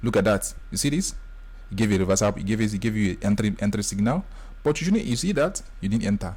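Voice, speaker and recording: Speaking at a very fast pace, a man with a fairly low pitch sounds somewhat breathy. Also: ordinary pitch variation. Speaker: forex trading tutor. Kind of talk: screen-share tutorial. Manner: animated.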